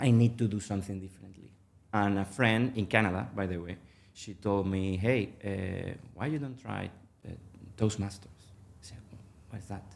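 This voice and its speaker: With a Spanish accent, a man with a fairly low pitch talks at a moderate pace, his intonation fairly even but his loudness swinging widely. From Venezuela. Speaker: mergers and acquisitions manager, public speaking club member. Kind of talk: podcast interview. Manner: hesitant, many fillers.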